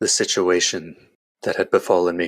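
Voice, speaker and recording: In a raspy, put-on character voice, a man speaks at a moderate pace. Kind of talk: solemn first-person backstory monologue. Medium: actual play. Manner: measured, grave.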